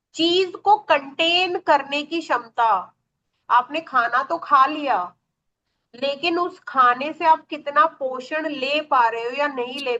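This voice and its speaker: Raised, projected speech from a woman, bright and sharp in tone. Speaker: astrology teacher. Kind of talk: online class lecture. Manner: animated.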